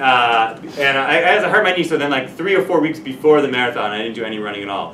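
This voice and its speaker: At a fairly quick pace, a man with an American accent speaks at medium pitch, with audible room echo and light background noise. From New Jersey. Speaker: math teacher. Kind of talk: lecture. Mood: relaxed, chatty anecdote. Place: classroom.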